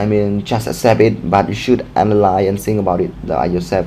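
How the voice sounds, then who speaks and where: With noticeable background noise behind him, a man speaks at a fairly low pitch with a non-native accent. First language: not English. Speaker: book recommendation vlogger. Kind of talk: casual monologue, book review. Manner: halting, many fillers.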